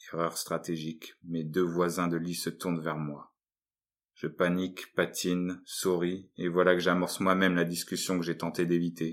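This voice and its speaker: A man with a very deep, low pitch talks at a fairly slow pace in a monotone, flat intonation, recorded very cleanly against a silent background. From northern France, Lille. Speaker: artist and writer. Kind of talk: reading aloud.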